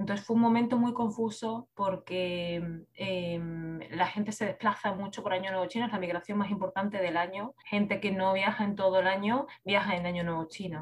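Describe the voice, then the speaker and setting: Speaking in a Spanish accent, a woman keeps a medium pitch. Her intonation is fairly even and her pace moderate. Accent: Peninsular Spanish. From Spain. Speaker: creative writing teacher. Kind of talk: interview.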